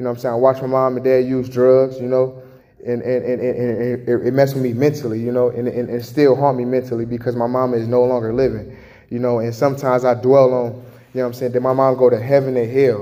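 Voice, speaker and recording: Very fast and monotone, a man with an American accent speaks at medium pitch with flat intonation. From Chicago. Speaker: testimony giver. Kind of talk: testimony. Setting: homeless shelter. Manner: halting, casual.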